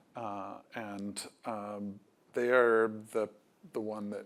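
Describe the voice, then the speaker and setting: Quiet and fairly low in pitch, a man's voice comes through. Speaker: biotech company CEO. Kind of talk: panel conversation. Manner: hesitant, many fillers.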